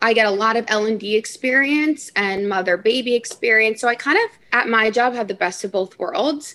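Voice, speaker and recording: Hardly pausing, a woman speaks at a moderate pace with a fairly high pitch and ordinary pitch variation. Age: 20s. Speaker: NICU nurse. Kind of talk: casual interview.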